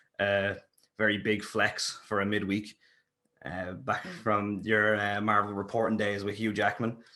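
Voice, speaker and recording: With a bright, sharp tone, a man talks at a moderate pace and a fairly low pitch. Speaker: podcast host. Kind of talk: casual podcast interview.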